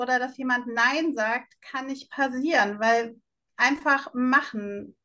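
High, bright, sharp woman's voice, raised and projected, very slow and fairly even in intonation. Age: 50s. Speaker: online shop founder. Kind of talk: interview.

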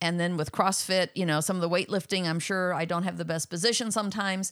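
This woman has an ordinary speaking voice. Her intonation stays fairly even. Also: very clean recording, silent background. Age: 60s. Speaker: host's mother. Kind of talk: casual Q&A.

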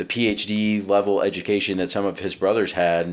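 A man talks fairly slowly with an American accent, in a fairly low pitch. His is an unremarkable speaking voice. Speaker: naval officer and leadership coach. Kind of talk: casual chat. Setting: remote call.

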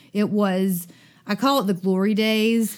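Very slow female speech in a Southern US accent, very clean recording with a silent background. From US South, Dothan, Alabama. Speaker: summer camp director. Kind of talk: interview conversation. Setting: recording at a synagogue. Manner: animated.

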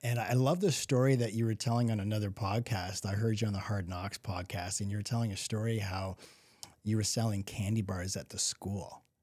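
At a fairly quick pace, a man speaks in a somewhat breathy, fairly low voice with fairly even intonation. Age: 50s. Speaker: podcast host. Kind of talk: casual chat.

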